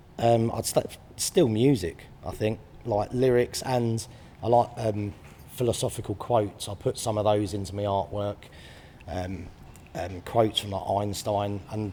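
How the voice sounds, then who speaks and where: This man speaks with a southern English accent. His pace is fairly slow. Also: fairly low pitch for a man, fairly even intonation. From southern England, Brighton. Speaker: artist. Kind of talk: interview. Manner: hesitant, many fillers.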